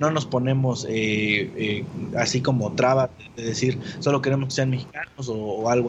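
His speech unfolds fairly slowly as noticeable noise runs behind it. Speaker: podcast network founder. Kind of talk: casual interview.

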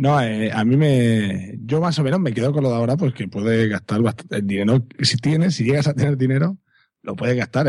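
This man has a normal speaking voice, medium in pitch with ordinary variation, delivered at a moderate pace. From Catalonia. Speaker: secondary school teacher and podcaster. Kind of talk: casual chat.

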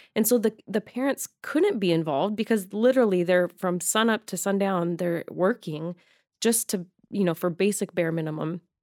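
In an American accent, a woman speaks at a moderate pace and medium pitch with ordinary pitch variation, an unremarkable speaking voice on a very clean recording with a silent background. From Arizona. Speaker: social worker. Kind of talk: casual chat. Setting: studio. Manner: laughs often.

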